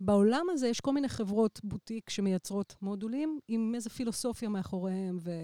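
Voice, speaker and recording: In a plain, everyday voice, a woman talks at a fairly quick pace with hardly any pauses, her fairly high pitch showing ordinary variation in a dry, close sound with no echo. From Israel. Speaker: electronic musician. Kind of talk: casual chat.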